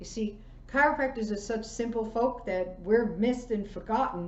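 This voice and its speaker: A woman talks in a fairly high pitch with ordinary pitch variation. Room echo is audible. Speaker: chiropractor giving a wellness class. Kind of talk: online presentation, lecture.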